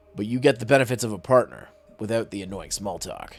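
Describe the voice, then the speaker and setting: A man uses a put-on character voice, gruff and raspy, at a medium pitch and a very fast pace. His loudness swings widely, with music in the background. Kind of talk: hard-boiled detective talk. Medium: virtual streamer. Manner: gruff, clipped and sardonic.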